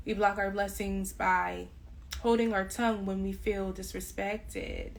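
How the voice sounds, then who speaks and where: Audible room echo around a woman speaking fairly slowly. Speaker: tarot reader. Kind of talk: spiritual reading monologue.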